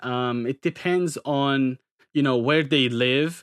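A man with a North Caucasus accent speaks at a very slow pace in a medium pitch with fairly even intonation, the sound dry and close with no echo against a quiet background. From Turkey. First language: Circassian. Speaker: graduate student and English teacher. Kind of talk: casual interview chat. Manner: hesitant, filler-heavy.

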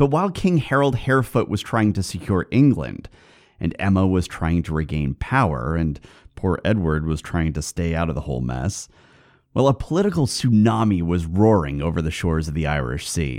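This man's voice sits very deep and low. His pitch swings very widely. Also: moderate pace, very clean recording, silent background. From US West Coast. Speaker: podcast host. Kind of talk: scripted narration, history podcast.

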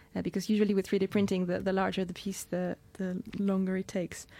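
A woman's medium-pitched voice, dark and mellow in tone, captured dry and close with no echo. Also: very clean recording, silent background. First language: Spanish. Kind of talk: radio interview. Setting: studio.

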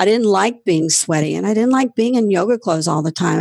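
This woman has a normal speaking voice at a medium pitch, with an American accent. Her intonation is lively. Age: 50s. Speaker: yoga studio owner. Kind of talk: interview. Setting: remote call.

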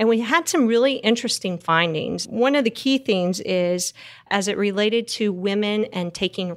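With a Texas accent, a woman speaks at a moderate pace and with ordinary pitch variation. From Texas Panhandle. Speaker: energy consultant. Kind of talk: interview.

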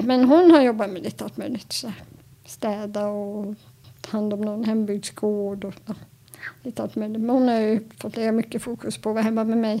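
An unremarkable speaking voice from a woman, fairly high in pitch, at a moderate pace with fairly even intonation. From Stockholm archipelago, Sweden. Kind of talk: interview.

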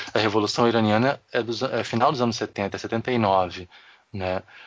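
Fairly even intonation in a fairly low male voice. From Rio de Janeiro. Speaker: podcast co-host. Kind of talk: casual chat.

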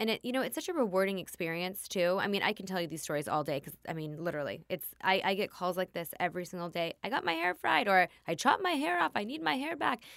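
Very fast, lively speech from a woman at medium pitch with an American accent, in a very clean recording with a silent background. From US West Coast, Los Angeles area. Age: 30s. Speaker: hairstylist and salon owner. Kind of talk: interview.

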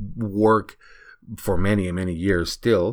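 A man with a non-native accent speaks with fairly even intonation in a very clean recording with a silent background. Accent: noticeable foreign. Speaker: e-commerce entrepreneur and podcast host. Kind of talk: solo podcast monologue.

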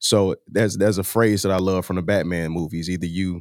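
A man's very deep, low voice with an American accent, fairly quick and fairly even in intonation, on a very clean recording with a silent background and a dry, close sound with no echo. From St. Louis, Missouri. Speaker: rapper. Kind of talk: interview.

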